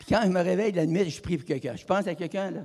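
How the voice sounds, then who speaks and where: A man talks with a Quebec accent. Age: 80s+. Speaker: evangelist. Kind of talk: sermon. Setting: church. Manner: halting.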